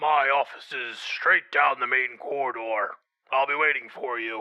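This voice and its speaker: A man performs a put-on character voice. His pitch sits at a medium level. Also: moderate pace. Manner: ominous.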